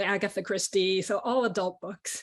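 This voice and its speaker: Against a quiet background, a woman with a Chinese accent speaks at a medium pitch with fairly even intonation. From Caracas, Venezuela (American school). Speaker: children's author. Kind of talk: panel discussion. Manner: hesitant, many fillers.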